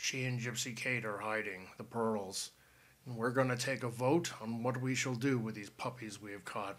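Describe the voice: A guttural, put-on character voice moves at a moderate pace with fairly even intonation. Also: man, medium pitch for a man.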